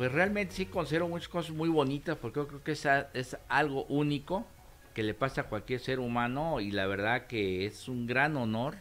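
A man talks at a moderate pace in an ordinary speaking voice, his intonation lively. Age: 60s. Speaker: former Olympic volunteer. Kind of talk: interview.

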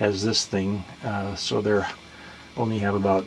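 A man's fairly low, flat monotone at a fairly slow pace, with light background noise. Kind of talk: casual tour narration. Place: boat. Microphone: phone near.

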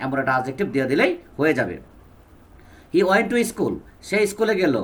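This man has an ordinary speaking voice and lively intonation. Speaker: English teacher. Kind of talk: lecture.

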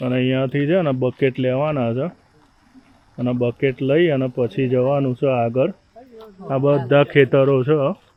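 This man has a plain, everyday voice, pitched in the middle range, with fairly even intonation. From Gujarat, India (Ahmedabad). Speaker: vlogger. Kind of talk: casual vlog narration. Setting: outdoors on a farm.

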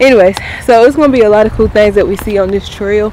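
A woman at a moderate pace, with ordinary pitch variation, dry sound without echo, and light background noise. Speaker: vlogger. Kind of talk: casual vlog chat. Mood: cheerful, laughing. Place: forest. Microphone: phone near.

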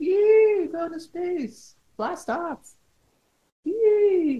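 This put-on character voice reaches an extremely high pitch. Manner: playful, whinnying, horse-like.

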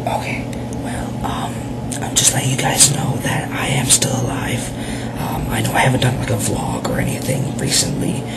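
Whispering at a moderate pace, a man speaks with music in the background. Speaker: vlogger. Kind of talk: casual talk to camera. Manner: whispered. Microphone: webcam.

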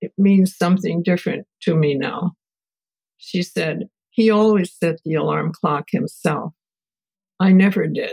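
This woman's voice is fairly low in pitch and somewhat breathy, with ordinary pitch variation. She talks at a fairly slow pace in a dry, close sound with no echo. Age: 80s+. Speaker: family therapist and researcher. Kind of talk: interview answer.

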